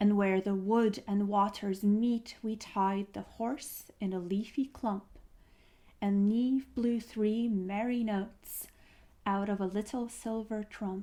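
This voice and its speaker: The soft-spoken voice has a dark, mellow tone and moves at a very slow pace with monotone, flat intonation. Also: woman, medium pitch for a woman. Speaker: storyteller. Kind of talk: reading aloud.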